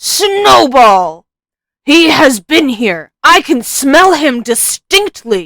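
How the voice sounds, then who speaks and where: A woman uses a put-on character voice, high in pitch with very wide pitch swings. She speaks at a very slow pace on a very clean recording with a silent background. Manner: loud, menacing.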